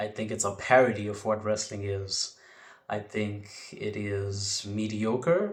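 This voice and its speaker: Somewhat breathy and fairly low in pitch, a man speaks with audible room echo. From South Africa, Port Elizabeth. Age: young. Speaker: wrestling podcaster. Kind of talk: podcast monologue. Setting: home bedroom.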